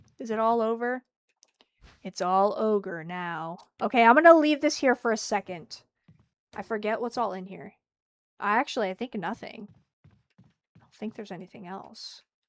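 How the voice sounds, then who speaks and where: With an animated tone, a woman talks at a moderate pace, leaving long, frequent pauses and making big swings in loudness. The sound is dry and close with no echo, on a very clean recording with a silent background. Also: fairly high pitch for a woman, lively intonation. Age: 20s. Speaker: video game streamer. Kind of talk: live gameplay commentary.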